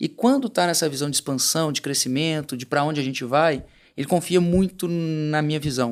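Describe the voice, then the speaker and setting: A man talks at a fairly quick pace in a fairly high voice with fairly even intonation, captured in a very clean recording with a silent background. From Brazil, southern Minas Gerais (Nepomuceno). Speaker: entrepreneur. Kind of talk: interview conversation.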